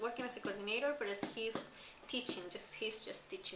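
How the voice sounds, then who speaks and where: The speaker has a non-native accent and ordinary pitch variation. Room echo is audible. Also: woman. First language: not English. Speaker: school coordinator vlogger. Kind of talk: personal vlog. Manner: halting.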